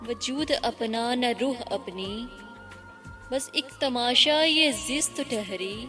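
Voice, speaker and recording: Over music in the background, a woman speaks at a high pitch with ordinary pitch variation. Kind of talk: poetry reading. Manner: emotional.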